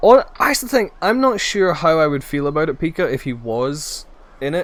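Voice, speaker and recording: A man's high voice with very wide pitch swings, a Scottish accent and a moderate pace. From Scotland. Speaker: video game streamer. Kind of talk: live gaming stream chat. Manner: casual, chatty with fillers.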